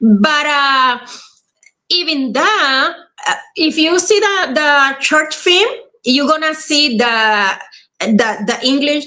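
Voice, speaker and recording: Very slowly and at very even loudness, a woman with a Spanish accent projects a raised, high-pitched voice with a bright, sharp tone and lively intonation. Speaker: actress. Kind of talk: casual chat.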